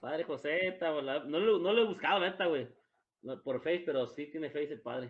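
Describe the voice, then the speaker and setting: With ordinary pitch variation, a man with a fairly high pitch speaks at a moderate pace. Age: 30s. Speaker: podcast co-host. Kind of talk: casual chat. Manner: animated.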